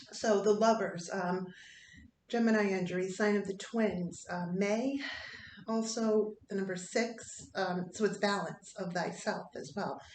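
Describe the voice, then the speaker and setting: A woman with fairly even intonation, heard with audible room echo. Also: medium pitch for a woman, fairly slow pace. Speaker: tarot reader. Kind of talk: tarot reading. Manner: halting.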